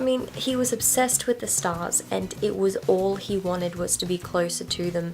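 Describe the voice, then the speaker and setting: Against noticeable background noise, a woman speaks quietly at a moderate pace with hardly any pauses. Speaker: book vlogger. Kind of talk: casual book vlog chat. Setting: on her bed at home. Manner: quiet, late-night talk.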